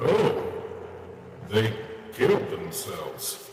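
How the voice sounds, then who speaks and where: A man does a cartoonish character voice amid clear background noise and clear echo. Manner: flat, understated.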